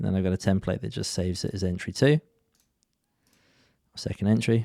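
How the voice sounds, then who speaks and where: A dark, mellow tone at a fairly quick pace, on a very clean recording with a silent background. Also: man. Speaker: forex trader and trading educator. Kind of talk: live-stream trade breakdown. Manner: monotone at times.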